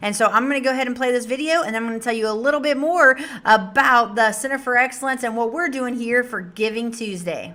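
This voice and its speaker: A loud, high-pitched woman with an American accent, bright and sharp in tone, at a very fast pace with hardly any pauses. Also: ordinary pitch variation. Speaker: nonprofit director hosting livestream. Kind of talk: casual livestream address. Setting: live stream.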